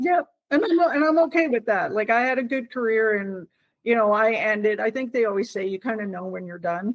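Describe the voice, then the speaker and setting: A woman speaks in a normal speaking voice at a fairly high pitch. Her pace is fairly quick and her intonation lively. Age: 50s. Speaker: retired military police officer. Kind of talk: interview.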